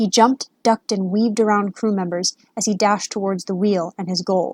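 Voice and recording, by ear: This is reading aloud in a natural voice, with fairly even intonation. The background is quiet.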